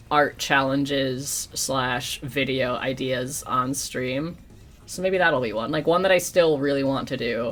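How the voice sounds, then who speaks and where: Someone with an American accent speaks at a fairly slow pace, with music in the background. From New York. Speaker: streamer and digital artist. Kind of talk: casual livestream chat while drawing. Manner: casual, rambling.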